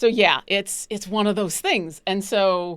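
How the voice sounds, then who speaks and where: Speaking with an animated tone, a woman keeps to a medium pitch and a fairly slow pace. The recording is very clean, with a silent background. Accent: New York City. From Buffalo, New York. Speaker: live streamer. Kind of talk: casual chat. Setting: live stream.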